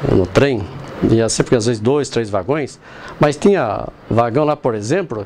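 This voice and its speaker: Lively intonation runs through fairly slow speech full of long, frequent pauses, with noticeable background noise. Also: man, medium pitch for a man. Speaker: local resident sharing memories. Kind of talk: documentary interview.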